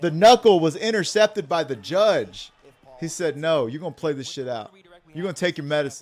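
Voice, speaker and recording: With an American accent, a man talks at a fairly quick pace in a fairly high pitch. His intonation is lively and his tone animated. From Texas. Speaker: card game streamer commentator. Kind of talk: live commentary. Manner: loud.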